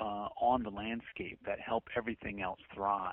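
A man talks with an American accent. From northern England and Maryland, Appalachian. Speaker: permaculture designer and author. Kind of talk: interview. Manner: hesitant, many fillers.

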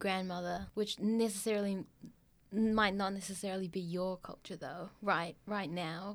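A woman at medium pitch with ordinary pitch variation and a moderate pace, an unremarkable speaking voice. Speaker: podcast co-host, graphic designer. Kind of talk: casual podcast interview.

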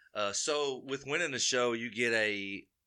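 In an Alabama accent, a man speaks with a bright, sharp tone on a very clean recording with a silent background. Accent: Southern US (Alabama). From Alabama (Carbondale). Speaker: moonshiner, distilling competition winner. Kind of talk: casual interview chat.

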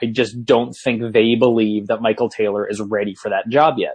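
An unremarkable speaking voice from a man with medium pitch and an American accent, at a fairly quick pace. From US Northeast. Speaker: sports podcast host. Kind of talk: casual chat.

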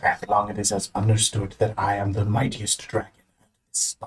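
Putting on a character voice, a man speaks at a fairly quick pace in a fairly low pitch. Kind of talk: comic overacting. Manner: pompous, gruff, boastful.

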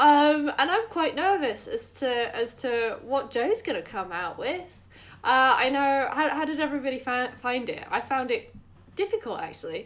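A woman's high voice with very wide pitch swings. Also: moderate pace. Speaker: podcast host. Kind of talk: casual chat.

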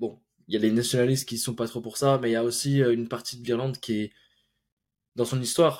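Recorded very cleanly against a silent background, a man speaks at a fairly quick pace with a medium pitch. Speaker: podcast host. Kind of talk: casual interview.

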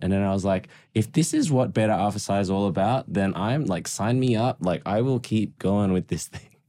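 A man with an Australian accent speaks in a fairly low pitch, his tone dark and mellow, with ordinary pitch variation. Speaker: podcast co-host, accountant, mentor. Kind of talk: casual chat, podcast. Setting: studio.

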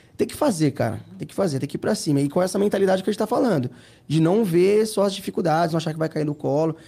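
At a very fast pace, a man with a high pitch and a dark, mellow tone talks with big swings in loudness and ordinary pitch variation. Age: 30s. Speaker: entrepreneur and Instagram influencer. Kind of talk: casual interview.

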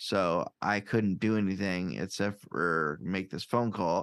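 A man speaks with a Midwestern US accent and fairly even intonation. The background is quiet. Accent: US Midwest. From Iowa, Quad Cities. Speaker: podcaster and stand-up comedian. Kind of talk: casual chat.

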